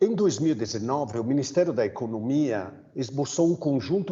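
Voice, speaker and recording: A man with an Italian accent and lively intonation. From Italy. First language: Italian (speaking Portuguese). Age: 50s. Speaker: migrant aid worker. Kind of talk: panel talk. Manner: halting.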